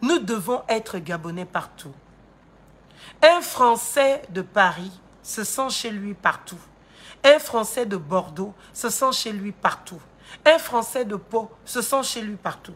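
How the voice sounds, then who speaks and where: A woman with a fairly high, somewhat breathy voice speaks at a very slow pace with long, frequent pauses, lively intonation and big swings in loudness. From Gabon. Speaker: political commentator and lawyer. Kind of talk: political commentary monologue. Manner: animated.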